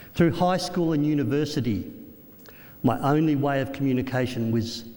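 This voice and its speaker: A man with an Australian accent talks at a moderate pace with lively intonation, and the room echo is audible. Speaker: motivational speaker. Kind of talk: keynote speech.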